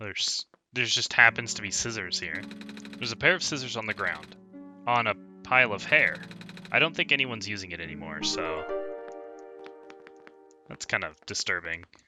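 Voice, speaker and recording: Music plays in the background as a man speaks at a fairly quick pace in a fairly low voice, his intonation lively, with long, frequent pauses. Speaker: let's play gamer. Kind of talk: game commentary with read-aloud dialogue. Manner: casual.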